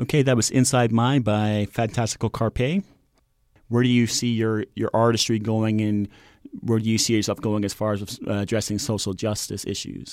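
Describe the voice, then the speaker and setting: Recorded very cleanly with a silent background, the speaker has an unremarkable speaking voice, a moderate pace and fairly even intonation. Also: man, medium pitch for a man. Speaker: radio host. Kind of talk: radio interview show. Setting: studio.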